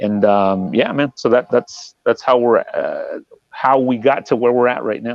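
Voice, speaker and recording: Speaking in a Spanish accent, a man moves through his words at a fairly slow pace. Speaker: touring metal guitarist. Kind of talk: interview. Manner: casual with many fillers.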